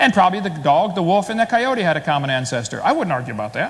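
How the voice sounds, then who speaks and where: Animated tone, very fast pace, very wide pitch swings. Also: man. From US Midwest, Illinois. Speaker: creationist debater. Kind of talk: debate presentation.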